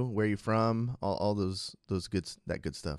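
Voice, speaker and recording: This is a man with a normal speaking voice. He talks at medium pitch and a moderate pace. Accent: American. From US West Coast, Sacramento. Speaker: esports interviewer. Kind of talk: casual interview.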